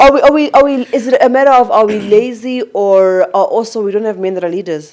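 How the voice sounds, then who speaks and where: A woman with a fairly high pitch and ordinary pitch variation speaks at a very fast pace. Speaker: podcast host. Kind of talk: casual chat.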